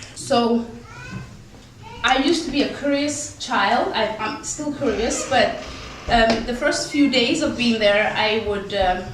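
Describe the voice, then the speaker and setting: A woman speaks with a high pitch and ordinary pitch variation, leaving long, frequent pauses. Audible room echo and noticeable background noise fill the recording. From Somalia. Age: 30s. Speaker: refugee speaker. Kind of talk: personal life story talk. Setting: dinner talk with audience. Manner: hesitant, many fillers.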